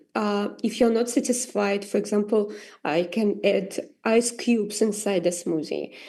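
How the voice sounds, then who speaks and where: A woman with a non-native accent and a dark, mellow tone, at a fairly slow pace, with ordinary pitch variation, over a quiet background. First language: not English. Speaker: AI artist. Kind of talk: tutorial. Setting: livestream. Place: home room. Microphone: video call.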